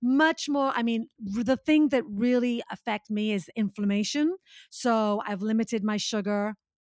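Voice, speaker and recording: A woman talks at a moderate pace with a fairly high pitch and ordinary pitch variation, a normal speaking voice. The recording is very clean with a silent background, the sound dry and close with no echo. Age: 50s. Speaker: fitness instructor and speaker. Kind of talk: casual chat.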